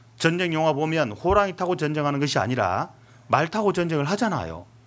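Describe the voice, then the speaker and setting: This man has a fairly high pitch and vocal fry. His pitch swings very widely at a moderate pace. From Seoul, South Korea. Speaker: pastor. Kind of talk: sermon.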